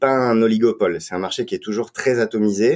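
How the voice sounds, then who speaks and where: On a very clean recording with a silent background, a man at medium pitch has an ordinary speaking voice with ordinary pitch variation. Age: 30s. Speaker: wine marketing director. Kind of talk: podcast interview.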